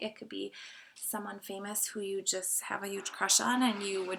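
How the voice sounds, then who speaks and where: At a fairly quick pace, a woman talks in a bright, sharp tone at medium pitch. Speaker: math teacher. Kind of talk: lecture. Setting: home basement. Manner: fast.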